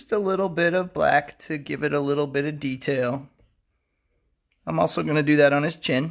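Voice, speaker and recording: Against a silent background in a very clean recording, a man with an ordinary speaking voice talks at a fairly high pitch. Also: ordinary pitch variation, moderate pace. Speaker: drawing teacher. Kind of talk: tutorial.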